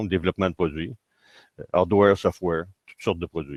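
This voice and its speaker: With a Quebec accent, a man speaks at a very deep, low pitch with fairly even intonation. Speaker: engineer and agile consultant. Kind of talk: conference keynote. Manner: hesitant, many fillers.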